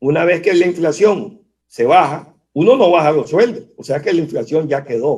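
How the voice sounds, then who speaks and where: A man at a fairly slow pace, with lively intonation and a normal speaking voice. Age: 60s. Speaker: economist. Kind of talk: interview. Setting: video call.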